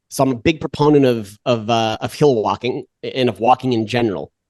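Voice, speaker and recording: A man speaks in a dry, close sound with no echo. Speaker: exercise science professor. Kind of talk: podcast interview. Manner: fast; halting.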